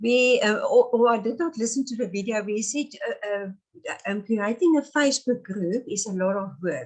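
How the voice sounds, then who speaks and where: Speaking at a moderate pace with a South African accent, a woman uses a fairly high pitch and ordinary pitch variation. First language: Afrikaans. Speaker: pastoral narrative therapist. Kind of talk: interview. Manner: halting.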